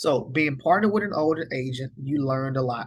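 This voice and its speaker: A man talks at a very fast pace with a somewhat breathy voice. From US rural area. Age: 40s. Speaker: financial advisor. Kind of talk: online course lecture. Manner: relaxed, casual.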